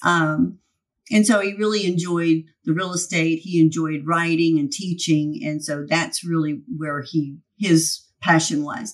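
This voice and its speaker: A woman with an American accent and an unremarkable speaking voice talks at a fairly slow pace, her pitch fairly low with ordinary pitch variation. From Texas, Dallas-Fort Worth area. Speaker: insurance agency owner. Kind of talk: interview.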